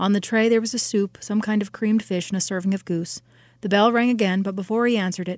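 Straightforward text read aloud, nothing more

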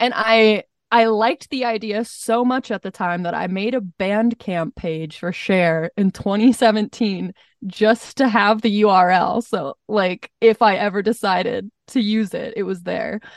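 In an American accent, a woman talks at a fairly slow pace and fairly high pitch with ordinary pitch variation, an ordinary speaking voice against a quiet background. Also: dry, close sound with no echo. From Montana. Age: 20s. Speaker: singer-songwriter. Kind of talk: casual interview.

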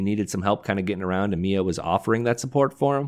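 A man rattles off his words at a very fast pace in a very clean recording with a silent background. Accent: American. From Detroit, US Midwest. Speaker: entertainment writer, show analyst. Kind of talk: casual chat.

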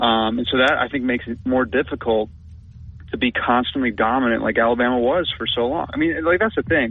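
A man speaks in a normal speaking voice with an American accent and a medium pitch. His pitch variation is ordinary and his pace fairly quick. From Minnesota. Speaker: sports beat writer. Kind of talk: sports talk radio interview. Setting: radio studio.

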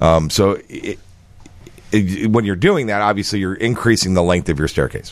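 A man with a fairly low pitch speaks at a moderate pace with ordinary pitch variation in a normal speaking voice. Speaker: accessibility equipment sales executive. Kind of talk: expert advice on radio.

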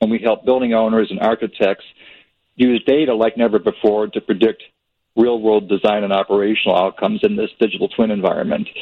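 With an ordinary speaking voice, a man at medium pitch moves at a fairly quick pace and keeps a fairly even intonation. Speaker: architect and tech founder. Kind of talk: startup pitch. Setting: phone call.

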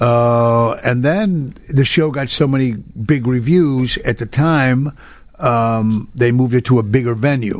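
At a fairly slow pace, a man with an American accent speaks at medium pitch with ordinary pitch variation. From Chicago area (Cicero, Illinois), Italian-born. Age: 50s. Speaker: nightclub singer. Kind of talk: casual chat. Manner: halting.

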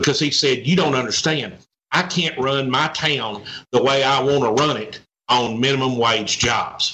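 This man speaks with a Southern US accent at a medium pitch. His pace is moderate and his pitch variation ordinary. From Arkansas. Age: 60s. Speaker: economic development executive. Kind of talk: interview.

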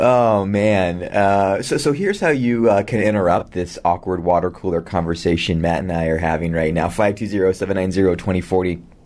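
A man speaks at a fairly quick pace and low pitch. His tone is slightly mellow, with ordinary pitch variation.

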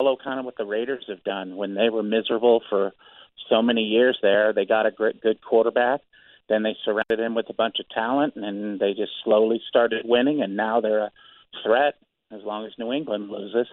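A man speaks with an American accent in an ordinary speaking voice. His pitch is medium, his intonation fairly even, and his pace fairly quick. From Gary, Indiana (US Midwest). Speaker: radio call-in listener. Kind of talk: casual phone-in chat.

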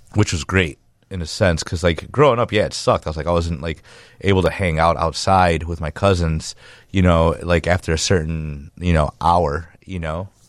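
At a moderate pace and with fairly even intonation, a man speaks at a very deep, low pitch against a quiet background. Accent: Chicago. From Chicago area, US. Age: 30s. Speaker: muralist and artist. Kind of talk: casual interview.

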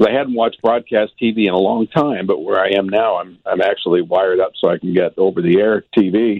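A man's normal speaking voice, fairly low in pitch with ordinary variation, at a fairly quick pace with hardly any pauses. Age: 60s. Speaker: space journalist and author. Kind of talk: casual chat.

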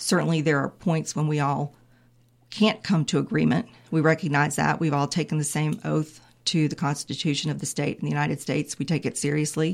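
A woman with an American accent, very deep and low-pitched, with vocal fry, fairly even intonation and a fairly quick pace, on a very clean recording with a silent background. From North Carolina (Raleigh, Wake County). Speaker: state supreme court justice. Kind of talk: interview.

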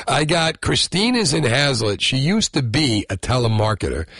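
With an American accent, a man talks in an animated, bright, sharp tone with vocal fry and very wide pitch swings, the sound dry and close with no echo. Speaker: radio host. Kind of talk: talk radio. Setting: studio.

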